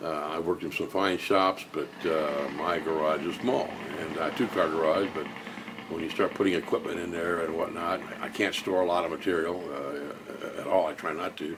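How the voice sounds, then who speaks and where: Amid noticeable background noise and audible room echo, a man with a very deep, low pitch speaks at a moderate pace with fairly even intonation. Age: 60s. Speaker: woodworker. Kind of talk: tutorial vlog. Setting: home garage. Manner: halting, many fillers.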